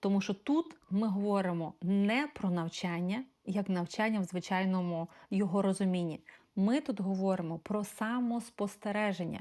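A woman with a normal speaking voice and a medium pitch talks at a moderate pace, with ordinary pitch variation and very even loudness, in a very clean recording with a silent background. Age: 40s. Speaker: life coach. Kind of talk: self-presentation to prospective clients.

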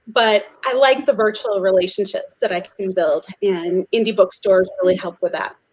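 In an American accent, a woman speaks at a moderate pace with hardly any pauses. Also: ordinary pitch variation. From US Midwest, St. Louis; US Midwest. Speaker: romance author. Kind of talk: panel discussion. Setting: video call. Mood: friendly, relaxed. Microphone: video call.

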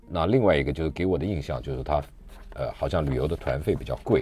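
Dry sound with no echo over faint background music. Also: man. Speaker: radio show host. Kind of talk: radio host introduction. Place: studio.

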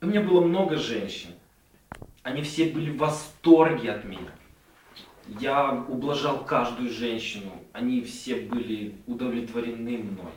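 At a fairly slow pace, a man speaks with long, frequent pauses and big swings in loudness, with audible room echo and light background noise. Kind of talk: casual boastful monologue. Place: kitchen. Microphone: camera far.

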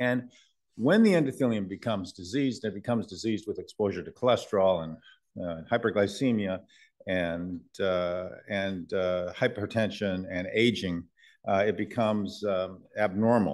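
At a moderate pace, a man with an unremarkable speaking voice talks at a fairly low pitch with ordinary pitch variation over a quiet background. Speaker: invited medical lecturer. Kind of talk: lecture. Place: hall.

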